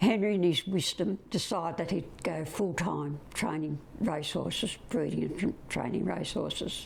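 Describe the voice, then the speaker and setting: With an Australian accent, a woman talks at a moderate pace with hardly any pauses. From Australia, Bega NSW. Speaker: retired business founder. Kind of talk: interview testimony.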